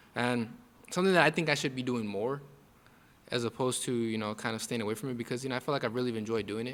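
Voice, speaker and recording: The speech comes at a very fast pace in an American accent. Pitch moves in an ordinary way. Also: man, medium pitch for a man. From Texas, El Paso. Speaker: boxer. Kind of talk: casual interview.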